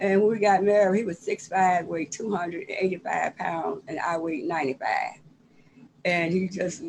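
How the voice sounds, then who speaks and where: With an American accent, a woman speaks at a medium pitch over noticeable background noise. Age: 70s. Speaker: cookbook author. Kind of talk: casual chat. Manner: halting.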